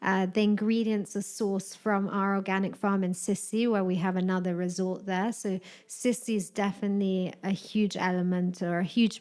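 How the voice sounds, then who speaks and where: A woman with a British accent speaks at a moderate pace with medium pitch, hardly any pauses, very even loudness and flat, monotone intonation. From UK. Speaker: hotel wellness director. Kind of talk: casual interview.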